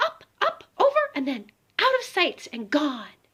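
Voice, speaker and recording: A woman's squeaky put-on character voice, extremely high in pitch, with very wide pitch swings. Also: fairly slow pace. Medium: read story. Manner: brash.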